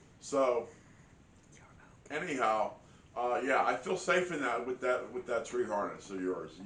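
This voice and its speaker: A man of medium pitch at a fairly slow pace. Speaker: hunting and outdoors vlogger. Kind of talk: casual vlog talk to camera. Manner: halting, many fillers and repeats.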